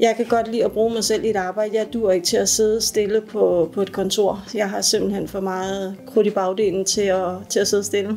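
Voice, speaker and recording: A woman's medium-pitched, monotone voice at a moderate pace, with hardly any pauses and noticeable background noise. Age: 40s. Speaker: apprentice welder. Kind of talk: workplace interview testimony. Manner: casual, hesitant with repetitions.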